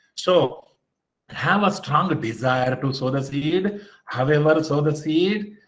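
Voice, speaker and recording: There's audible room echo as a man talks at a fairly high pitch with very wide pitch swings. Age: 50s. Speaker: motivational speaker. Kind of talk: motivational lecture. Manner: animated.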